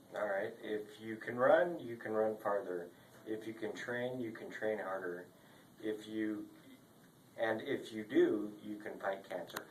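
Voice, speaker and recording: Man at fairly low pitch, fairly even intonation and a fairly slow pace, with noticeable background noise. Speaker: chiropractic patient. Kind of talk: reading aloud from a magazine.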